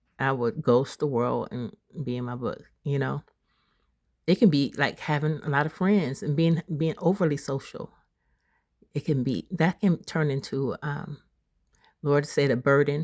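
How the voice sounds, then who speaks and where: Ordinary pitch variation with long, frequent pauses. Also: woman, very deep, low pitch for a woman, fairly slow pace, dry, close sound with no echo, very clean recording, silent background. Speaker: spiritual content creator. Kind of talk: casual vlog talk. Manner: halting, self-interrupting.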